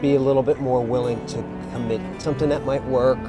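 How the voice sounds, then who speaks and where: Music plays behind a man with an American accent who speaks at a medium pitch. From New Jersey. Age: 60s. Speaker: musician. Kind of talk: documentary interview. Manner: reflective.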